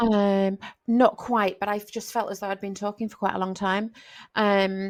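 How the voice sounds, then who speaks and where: A woman speaks at a moderate pace in a flat monotone. The recording is very clean, with a silent background. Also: medium pitch for a woman. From northern England, Cumbria (Dalton). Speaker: crime fiction author and podcast host. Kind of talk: casual interview chat. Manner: hesitant, many fillers and repetitions.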